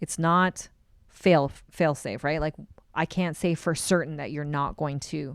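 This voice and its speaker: A woman's very deep, low voice at a moderate pace, fairly even in intonation, on a very clean recording with a silent background. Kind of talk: podcast interview. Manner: loud.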